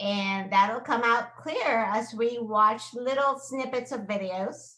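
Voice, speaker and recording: A woman's fairly high-pitched, very slow speech. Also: fairly even intonation. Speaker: teacher. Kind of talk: lecture.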